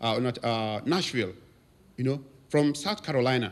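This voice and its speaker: A man speaks with a Nigerian accent. The recording is very clean, with a silent background. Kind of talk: anniversary speech to congregation.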